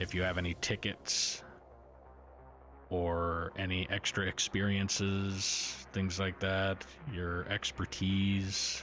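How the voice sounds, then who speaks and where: With music in the background, a man speaks at a very slow pace in a very deep, low pitch, his tone calm and relaxed, his loudness very even and his intonation fairly even. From Newfoundland, Canada. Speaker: livestreamer and gamer. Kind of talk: casual chat while gaming livestream. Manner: monotone; calm, relaxed.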